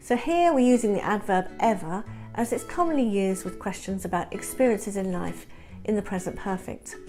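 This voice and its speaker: Over music in the background, a woman with a British accent speaks at a moderate pace. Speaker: English teacher. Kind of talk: grammar tutorial to camera.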